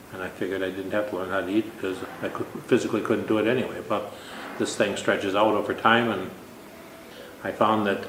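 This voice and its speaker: A man with an American accent speaks in a fairly low pitch with monotone, flat intonation. Noticeable background noise and audible room echo fill the recording. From Minnesota. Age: 60s. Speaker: contest winner. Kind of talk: interview. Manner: halting.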